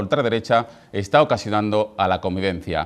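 This is a man talking. He speaks at a fairly quick pace. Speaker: TV presenter. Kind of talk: TV editorial commentary. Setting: TV studio. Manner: angry, indignant, forceful. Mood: indignant, critical. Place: studio. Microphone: lapel.

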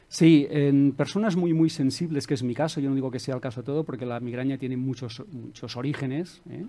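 Hardly pausing at all, a man talks at a fairly quick pace. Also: ordinary pitch variation. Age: 50s. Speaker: self-help author and coach; coach. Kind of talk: interview. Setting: studio with audience. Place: studio. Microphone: headset.

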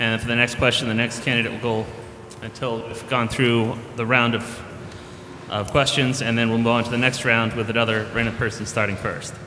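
A man with an American accent talks at a fairly quick pace and medium pitch, with audible room echo and light background noise. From Charlton, Massachusetts; Massachusetts. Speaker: debate moderator, software engineer; debate moderator. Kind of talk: debate moderation. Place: hall. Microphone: podium.

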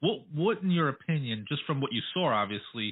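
A man talks at a fairly quick pace with lively intonation. He has a plain, everyday voice. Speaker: radio interviewer. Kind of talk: radio dj patter, casual interview banter. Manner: friendly, relaxed, chatty, easygoing.

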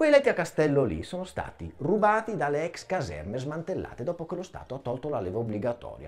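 Vocal fry runs through this voice, which makes very wide pitch swings. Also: man. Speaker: stand-up comedian. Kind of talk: stand-up comedy routine. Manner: animated, mock-outraged, theatrical; fast, punchline-driven with comic pauses. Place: studio.

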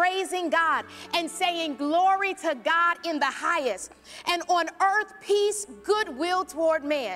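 Faint music plays behind a woman with an extremely high pitch. She speaks at a fairly slow pace with ordinary pitch variation. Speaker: speaker. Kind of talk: storytelling monologue to congregation. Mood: warm, playful. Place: church. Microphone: handheld.

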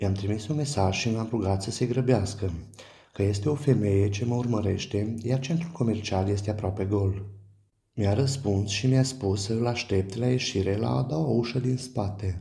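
A man's voice sits at a fairly low pitch, with a dark, mellow tone and a somewhat breathy quality. He keeps a moderate pace and ordinary pitch variation. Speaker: storyteller. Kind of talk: horror story narration, first-person. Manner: tense, hushed, suspenseful storytelling.

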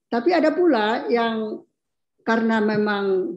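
Very slow speech from a woman at a fairly high pitch against a quiet background. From North Sumatra, Mandailing area; North Sumatra, Indonesia. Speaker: academic panelist; panelist. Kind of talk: panel discussion. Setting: video call. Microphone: video call.

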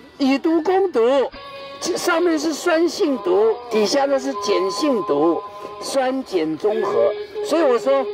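An extremely high-pitched man speaking very slowly, dry with no echo, with clear music in the background. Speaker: tour guide. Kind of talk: humorous guided tour talk. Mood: jokey, lively storytelling. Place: open country.

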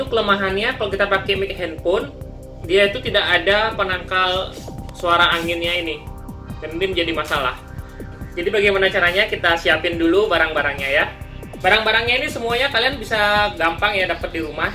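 A man talks very fast in a raised, projected voice with ordinary pitch variation. Clear music plays in the background. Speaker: motovlogger. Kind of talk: tutorial. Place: home room. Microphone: phone near.

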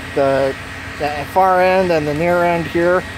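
Some background noise is clearly noticeable. There is no echo, and the sound stays dry. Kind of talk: casual show-and-tell. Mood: pleased, relaxed. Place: garden. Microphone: phone near.

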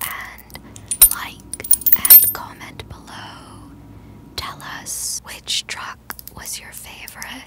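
Whispering at a very slow pace, a woman keeps a gentle tone over noticeable background noise. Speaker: ASMR voice artist. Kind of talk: ASMR promo narration about a skateboard truck. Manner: soft, gentle, whispered.

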